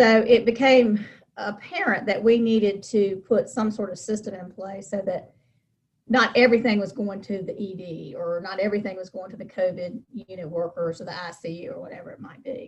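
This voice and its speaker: A plain, everyday voice from a woman with an American accent, medium pitch, ordinary pitch variation, moderate pace and big swings in loudness. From North Carolina, Charlotte. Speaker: nonprofit consultant and fundraiser. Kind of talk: interview.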